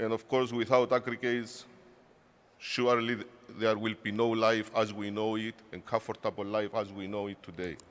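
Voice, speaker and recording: With a Cypriot accent, a man speaks at a medium pitch and a moderate pace in monotone, flat intonation. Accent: Greek Cypriot accent in English. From Cyprus. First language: Greek. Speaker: industry association director. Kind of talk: conference speech. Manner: halting.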